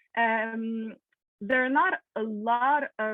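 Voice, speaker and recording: A woman with a Quebec accent, fairly high in pitch, with ordinary pitch variation. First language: French. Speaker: podiatrist. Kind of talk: Q&A presentation on video call. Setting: video call. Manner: halting, many fillers.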